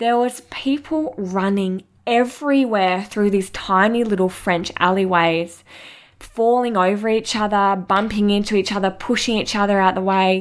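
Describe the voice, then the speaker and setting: Delivered in an Australian accent, the speech keeps a very even loudness and ordinary pitch variation. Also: woman, medium pitch for a woman, moderate pace. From Western Australia, coastal town south of Perth. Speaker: chiropractor and podcast host. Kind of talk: personal storytelling monologue.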